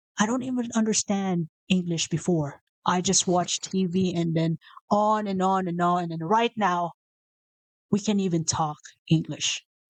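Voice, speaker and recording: A woman speaks with a Visayan Filipino accent at a fairly slow pace. The sound is dry and close, with no echo. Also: medium pitch for a woman, ordinary pitch variation. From Philippines (Visayas). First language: Bisaya (Cebuano). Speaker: motivational video host. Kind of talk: casual motivational talk. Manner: unscripted, with self-corrections.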